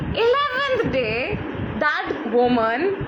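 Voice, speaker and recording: A woman with a Bengali accent speaks at an extremely high pitch with very wide pitch swings, over noticeable background noise and audible room echo. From India. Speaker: life coach. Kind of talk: live online talk. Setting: livestream from phone. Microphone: phone mic.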